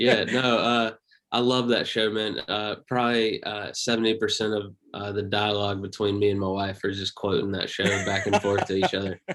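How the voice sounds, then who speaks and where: A man with a Southern US accent speaks at a moderate pace. His fairly low voice has a monotone, flat intonation. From US South, Pioneers, North Carolina. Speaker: comedian. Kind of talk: casual chat.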